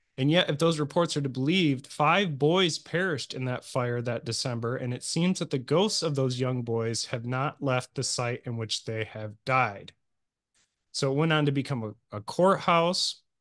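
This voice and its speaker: With a Midwestern US accent, a man speaks in a fairly high pitch at a moderate pace, with ordinary pitch variation and a quiet background. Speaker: podcast host. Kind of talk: casual podcast storytelling. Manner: halting.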